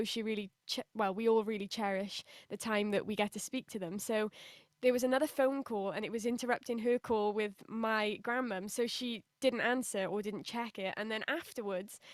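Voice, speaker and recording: Using a British accent, a woman talks at a moderate pace and fairly high pitch with fairly even intonation, in a dry, close sound with no echo. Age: 20s. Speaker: singer. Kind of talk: interview.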